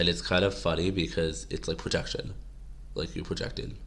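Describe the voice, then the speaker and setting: A man's very deep, low voice with vocal fry, very wide pitch swings, a fairly quick pace and audible room echo. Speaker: political commentary vlogger. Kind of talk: casual monologue to camera. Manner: rambling, halting.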